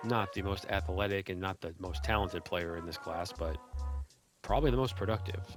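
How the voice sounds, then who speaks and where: A quiet man's very deep, low voice with ordinary pitch variation, over music in the background. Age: 40s. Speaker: sports video game content creator. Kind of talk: casual sports analysis commentary.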